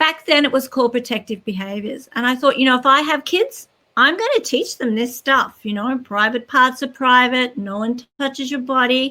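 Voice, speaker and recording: A woman with an Australian accent projects a raised, high-pitched voice with a bright, sharp tone, talking at a moderate pace with ordinary pitch variation and hardly any pauses. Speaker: children's author and educator. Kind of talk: interview.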